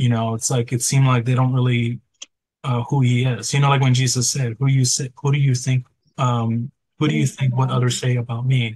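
Over a quiet background, a man talks at a fairly quick pace in a monotone, flat intonation with very even loudness, somewhat breathy and dry with no echo. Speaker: Bible study participant. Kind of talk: group Bible study discussion. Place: home room. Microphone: video call.

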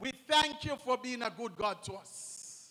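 A man's raised, projected voice. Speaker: minister leading prayer. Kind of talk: prayer. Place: church. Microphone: handheld.

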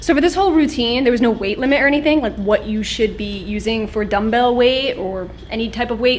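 A woman speaks with a high pitch. Light background noise can be heard. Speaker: fitness vlogger. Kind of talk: casual vlog chat. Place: gym. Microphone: phone near.

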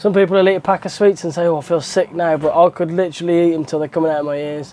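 This man has a high pitch and a dark, mellow tone. He talks at a very fast pace. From England, West Midlands (Stourbridge); West Midlands, England. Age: 20s. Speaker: motocross rider. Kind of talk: interview answers. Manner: casual, hesitant fillers. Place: garage. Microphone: lapel.

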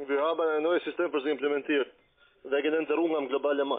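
A man talks at a fast pace, his pitch fairly high and his intonation fairly even.

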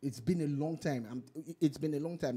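Somewhat breathy, a man speaks with a fairly high pitch, a dark, mellow tone and ordinary pitch variation. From Nigeria. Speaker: radio host. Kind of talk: casual chat; casual talk show chat. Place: studio. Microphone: studio mic.

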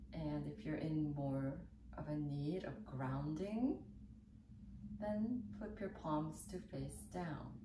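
Over noticeable background noise, a woman speaks very slowly in a calm, soothing tone. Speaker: yoga teacher. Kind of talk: guided seated yoga and meditation-prep instruction, calm cueing. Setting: video tutorial. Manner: calm, slow, soothing, gentle; instructional, warm and encouraging. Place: home room.

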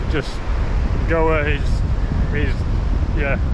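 The recording of a man sounds dry with no echo, though noticeable background noise runs underneath. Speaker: travel vlogger. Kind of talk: casual vlog chat. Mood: relaxed and happy. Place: beach. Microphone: phone near.

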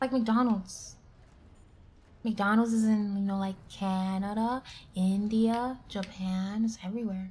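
A woman speaks at a very slow pace, with long, frequent pauses. Her tone is dark and mellow, and somewhat breathy. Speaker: vtuber streamer. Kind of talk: live gameplay streaming chat. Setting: home streaming setup with sensitive mic. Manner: stutters at times; animated, giggly. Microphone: studio mic.

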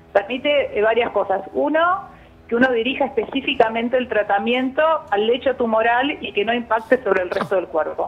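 Fairly high female voice with lively intonation at a moderate pace. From Argentina. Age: 50s. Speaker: cancer researcher, biologist; interviewee. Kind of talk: phone interview; interview answer. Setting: phone call. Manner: halting. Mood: calm explanatory. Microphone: phone line.

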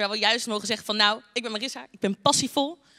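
Against a quiet background, a woman with a bright, sharp tone speaks at a fairly high pitch with ordinary pitch variation. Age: 20s. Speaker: youth church speaker; speaker. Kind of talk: short sermon. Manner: talkative, many filler words. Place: hall. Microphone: handheld.

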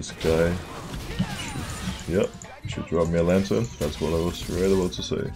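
Clear music plays behind a man with a very deep, low voice. He speaks with fairly even intonation and long, frequent pauses. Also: moderate pace. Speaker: professional esports jungler. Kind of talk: live gameplay commentary. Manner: casual. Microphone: headset.

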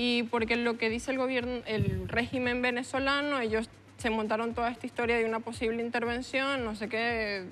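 A woman talks at a fairly quick pace in a fairly high, monotone voice. Light background noise is present. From Venezuela, Valencia (Carabobo); Carabobo, Venezuela. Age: 20s. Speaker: university student; interview guest. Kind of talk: TV panel discussion. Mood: earnest, impassioned. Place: studio. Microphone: lapel.

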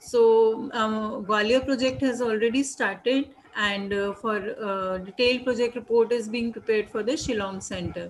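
A woman with an Indian accent speaks at a moderate pace. Her pitch is fairly high and her intonation fairly even. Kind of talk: webinar panel discussion. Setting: video call. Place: home room. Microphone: video call.

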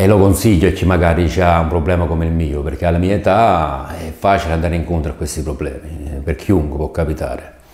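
Audible room echo surrounds a man whose very deep, low voice moves at a fairly quick pace with fairly even intonation and hardly any pauses. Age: 50s. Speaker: patient. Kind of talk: testimony. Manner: halting. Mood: calm, grateful. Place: studio. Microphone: lapel.

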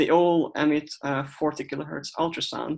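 A man speaks in a Hungarian accent with a fairly high pitch. His pace is fairly slow and his intonation fairly even. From Hungary. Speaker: researcher. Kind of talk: presentation. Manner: halting.

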